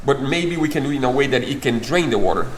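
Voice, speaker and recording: A man's fairly high voice at a fairly quick pace, with audible room echo and noticeable background noise. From Brazil. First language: Portuguese. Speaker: boat builder and vlogger. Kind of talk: casual chat.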